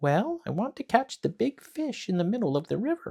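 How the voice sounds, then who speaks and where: In a put-on character voice, a man talks at a moderate pace, his extremely high pitch making very wide swings. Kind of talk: bedtime story. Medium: read story. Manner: sweet, innocent-seeming.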